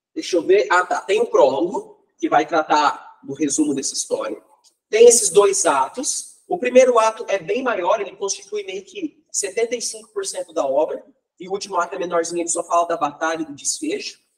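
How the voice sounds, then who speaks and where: Speaking at a moderate pace, a man lets his volume rise and fall by large amounts. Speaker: literature teacher. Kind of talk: lecture. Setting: classroom with students.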